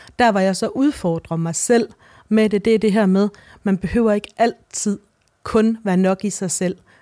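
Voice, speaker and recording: A woman's medium-pitched voice at a fairly slow pace, with ordinary pitch variation, on a very clean recording with a silent background. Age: 40s. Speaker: novelist. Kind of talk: interview. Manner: halting.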